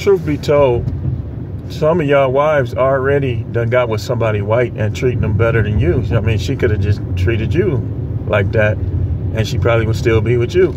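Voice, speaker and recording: A man at a moderate pace with ordinary pitch variation, a dry sound with no echo, and loud background noise. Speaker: vlogger. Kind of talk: casual vlog opinion rant. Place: car. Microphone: phone near.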